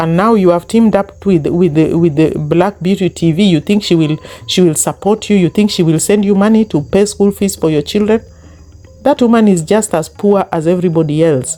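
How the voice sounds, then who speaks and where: Speech comes at a fairly quick pace with a Kenyan accent. Music plays in the background. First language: Luo. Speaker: YouTube commentary host. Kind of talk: online commentary rant. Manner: animated.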